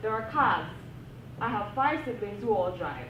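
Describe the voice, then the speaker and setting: Very wide pitch swings come through amid noticeable background noise and audible room echo. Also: woman. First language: a non-English African language. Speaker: academic panel speaker. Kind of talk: panel discussion talk. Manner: animated.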